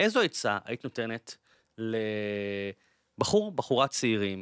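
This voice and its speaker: Against a quiet background, a man speaks with a bright, sharp tone in a dry sound with no echo. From Israel, Bat Yam; Israel. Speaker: podcast host. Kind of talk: interview conversation. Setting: studio. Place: studio. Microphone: studio mic.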